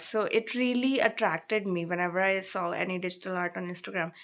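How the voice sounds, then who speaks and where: At a moderate pace, a woman talks with an Indian accent. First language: Hindi. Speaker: vlogger. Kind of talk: casual chat.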